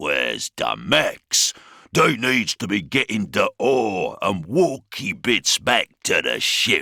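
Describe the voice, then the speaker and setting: Putting on a gruff, growling character voice, a man speaks at a very slow pace. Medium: read story. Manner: growling, crude orcish slang and grammar.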